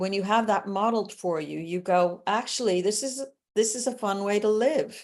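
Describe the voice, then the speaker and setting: A woman uses a normal speaking voice, medium in pitch, with ordinary pitch variation and a moderate pace. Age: 60s. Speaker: entrepreneur and sales coach. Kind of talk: podcast interview.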